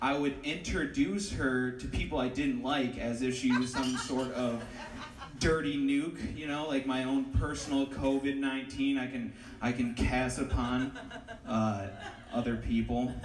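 A man speaks at a fairly slow pace with fairly even intonation, his voice carrying audible room echo over noticeable background noise. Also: medium pitch for a man. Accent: American. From Ohio. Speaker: stand-up comedian. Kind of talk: stand-up. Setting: stage with audience. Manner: halting.

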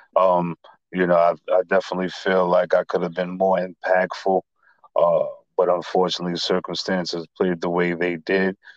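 A man with a New York accent, very deep and low in pitch, flat and monotone, at a moderate pace, with a dry, close sound and no echo. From Staten Island, New York. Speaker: rapper. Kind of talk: casual interview.

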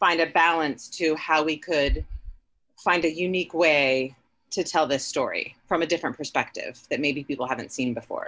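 A woman with an American accent talks at a moderate pace in a fairly low pitch, her tone bright and sharp. Her intonation is fairly even, and the background is quiet. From Ohio (Dayton). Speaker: filmmaker and actress. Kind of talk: interview.

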